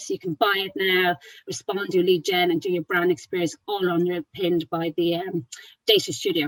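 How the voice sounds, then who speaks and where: Medium-pitched woman in an Irish accent, with ordinary pitch variation and a dry, close sound with no echo. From Ireland, Wexford. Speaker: tech marketing speaker. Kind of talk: webinar presentation. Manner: fast; animated.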